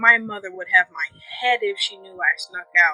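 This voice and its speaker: A woman's voice, dry and close with no echo, over music in the background. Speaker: storyteller. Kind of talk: bedtime fantasy story reading. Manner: soft-spoken.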